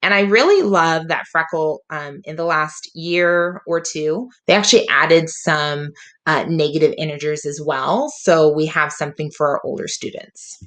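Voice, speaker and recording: In a normal speaking voice, a woman with a fairly low pitch talks at a moderate pace with hardly any pauses and fairly even intonation. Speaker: teacher. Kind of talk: tutorial.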